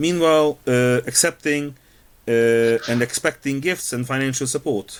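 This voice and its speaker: A man with a Hungarian accent talks at a fairly slow pace, his medium pitch showing ordinary variation. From Hungary. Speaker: podcast host. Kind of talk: discussion monologue.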